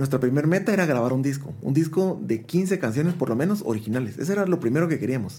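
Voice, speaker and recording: A man's dark, mellow tone comes through somewhat breathy, with ordinary pitch variation. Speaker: musician. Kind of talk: interview.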